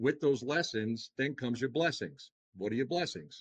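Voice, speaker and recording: With a Long Island accent, a man talks at a fairly quick pace. The sound is dry and close with no echo, and the background is quiet. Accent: Long Island New York. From Long Island, New York. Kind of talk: podcast interview. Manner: animated, talks with hands.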